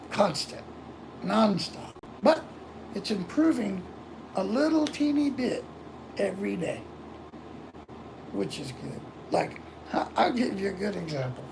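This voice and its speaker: Speaking with an American accent, this voice moves at a fairly slow pace with long, frequent pauses. Noticeable background noise runs underneath. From Florida, US. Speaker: livestreamer. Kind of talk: casual chat. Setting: live stream.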